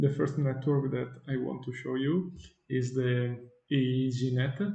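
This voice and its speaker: With monotone, flat intonation, a man speaks at a medium pitch. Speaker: software developer. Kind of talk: tutorial. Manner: halting, many fillers.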